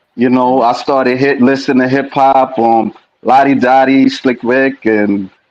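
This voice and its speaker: Speaking with an American accent, a man keeps a fairly slow pace. His intonation is monotone and flat, his loudness very even. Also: medium pitch for a man. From Brooklyn, New York. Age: 40s. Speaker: interviewer. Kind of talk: interview. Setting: live stream.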